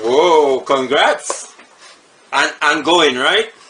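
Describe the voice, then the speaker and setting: A man speaks at a very slow pace with a fairly high pitch. Noticeable background noise sits behind him. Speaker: community interviewer. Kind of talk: interview. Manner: halting.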